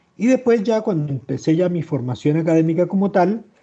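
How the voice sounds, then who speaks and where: The man's intonation is lively. His pace stays moderate. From Chile. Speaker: historian and author. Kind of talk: interview. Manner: halting.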